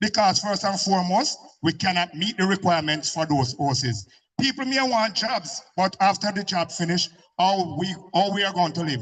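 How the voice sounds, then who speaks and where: A man's high-pitched voice in a Jamaican accent, animated in tone, with lively intonation at a moderate pace. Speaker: community speaker at public meeting. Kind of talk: impassioned public speech.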